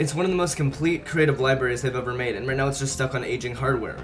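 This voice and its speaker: Music plays in the background. A man talks at a medium pitch with ordinary pitch variation. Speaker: gaming video creator. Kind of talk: gaming commentary voiceover.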